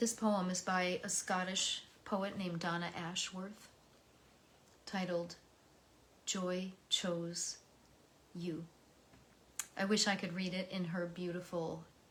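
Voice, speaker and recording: With an American accent, a woman speaks at a very slow pace in a medium pitch. Her flat, monotone delivery is broken by long, frequent pauses. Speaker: poetry reader. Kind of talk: reading aloud; personal reflection. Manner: emotional.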